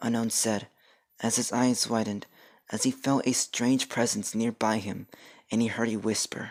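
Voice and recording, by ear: With fairly even intonation, the voice is reading aloud in a natural voice.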